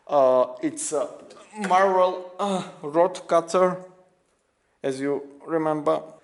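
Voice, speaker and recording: A man with a non-native accent speaks in a high voice at a very slow pace. He leaves long, frequent pauses, and his pitch varies in an ordinary way. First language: not English. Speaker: restoration YouTuber. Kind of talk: show-and-tell video walkthrough. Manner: halting, many fillers.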